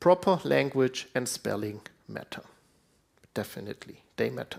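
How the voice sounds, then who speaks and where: At a moderate pace, a man speaks in a fairly low pitch with vocal fry. His pitch swings very widely. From Switzerland. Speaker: conference speaker. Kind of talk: conference talk.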